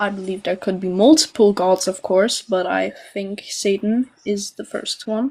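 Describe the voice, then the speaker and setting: A woman with a non-native accent talks at a fairly slow pace and medium pitch, with ordinary pitch variation and hardly any pauses. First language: not English. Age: young (18). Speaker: caller, agnostic Satanist. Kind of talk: casual debate. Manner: halting.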